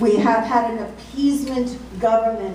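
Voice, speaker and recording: Audible room echo surrounds a woman's voice, along with noticeable background noise. She talks at a moderate pace. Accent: American. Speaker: national security analyst. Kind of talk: speech to a club audience. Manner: animated.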